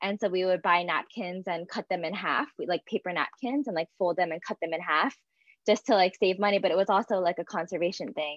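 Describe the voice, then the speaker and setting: A woman with an American accent has an ordinary speaking voice at a medium pitch with ordinary pitch variation. She talks at a fairly quick pace. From US Northeast, greater Philadelphia. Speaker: environmental advocate. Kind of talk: live panel discussion. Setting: video call livestream.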